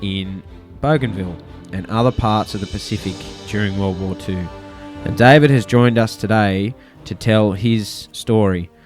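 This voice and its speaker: Over music in the background, a man with an Australian accent talks at a moderate pace and a fairly low pitch, with ordinary pitch variation. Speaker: podcast presenter. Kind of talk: interview questions.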